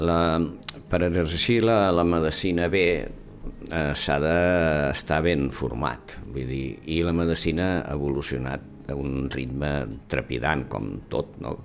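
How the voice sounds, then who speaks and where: Noticeable background noise and audible room echo surround a man speaking at a very slow pace. His voice is very deep and low, with ordinary pitch variation. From Catalonia, Mataró (Maresme). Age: 70s. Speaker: surgeon and former university rector. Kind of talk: interview. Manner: halting.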